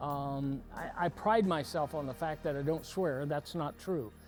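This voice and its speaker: Backed by music, a man speaks at a fairly slow pace with a fairly high pitch and ordinary pitch variation. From Arkansas. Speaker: retired wrestling coach. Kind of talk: interview storytelling.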